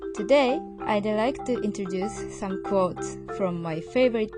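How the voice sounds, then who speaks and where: Music plays behind a woman who speaks very slowly with a Japanese accent. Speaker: podcast co-host. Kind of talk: casual podcast conversation.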